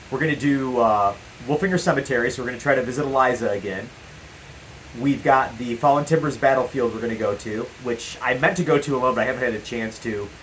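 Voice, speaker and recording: Amid noticeable background noise, a man talks at a very fast pace and a medium pitch with ordinary pitch variation. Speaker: paranormal investigator vlogger. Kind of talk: casual vlog talk to camera. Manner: loud.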